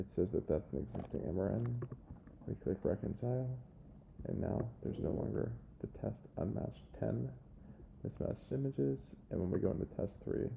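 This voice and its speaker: A man speaks quietly in a very deep, low voice with vocal fry and very wide pitch swings, at a moderate pace with long, frequent pauses. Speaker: software trainer. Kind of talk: tutorial.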